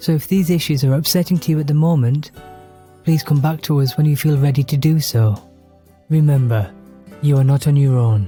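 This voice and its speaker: A man speaks at a fairly quick pace, his pitch fairly high with ordinary variation. Music plays in the background. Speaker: actor and podcast host. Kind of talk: podcast intro. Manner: fast, mumbling.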